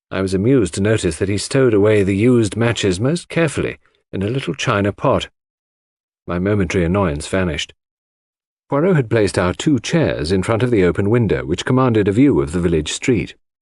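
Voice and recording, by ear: On a very clean recording with a silent background, a man speaks at a moderate pace with a fairly low pitch, a slightly mellow tone and lively intonation.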